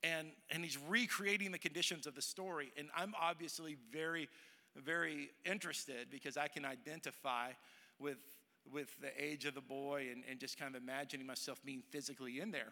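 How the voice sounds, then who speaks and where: The voice has a bright, sharp tone, ordinary pitch variation and a fairly quick pace. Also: man, fairly high pitch for a man. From Texas, Dallas. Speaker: pastor. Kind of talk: sermon. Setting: church with congregation.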